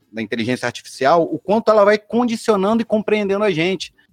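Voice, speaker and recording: A man's voice comes through dry and close, with no echo. Music plays in the background. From Rio de Janeiro suburbs, Brazil. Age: 40s. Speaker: designer and innovation leader. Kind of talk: casual chat. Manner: animated.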